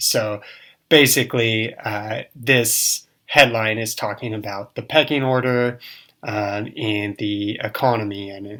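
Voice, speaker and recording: A man with an American accent, fairly low in pitch, bright and sharp in tone, with fairly even intonation. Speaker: English teacher. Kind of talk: casual online English lesson.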